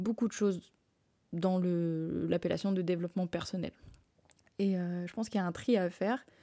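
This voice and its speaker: A woman of medium pitch talks at a moderate pace in a dark, mellow tone with fairly even intonation. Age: 20s. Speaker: podcast host. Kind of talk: solo monologue podcast. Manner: halting, many fillers.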